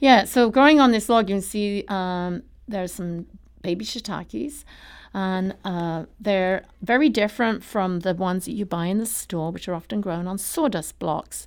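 In an English accent, a woman speaks at a medium pitch with ordinary pitch variation on a very clean recording with a silent background. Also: moderate pace. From England. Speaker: mushroom farmer. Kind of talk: radio interview. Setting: studio.

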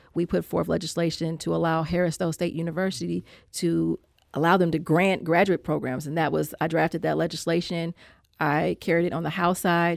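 A woman with an American accent speaks at a fairly quick pace. Her pitch is fairly low, and the recording is very clean with a silent background. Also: monotone, flat intonation. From Saint Louis, Missouri. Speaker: state legislator. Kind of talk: interview about politics. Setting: studio.

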